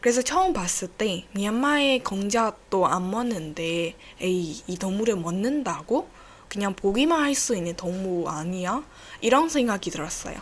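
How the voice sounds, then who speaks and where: Speaking fairly slowly with a Burmese accent, a woman uses lively intonation at a medium pitch. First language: Burmese (speaking Korean). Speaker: podcast host. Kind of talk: casual solo podcast talk. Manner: halting.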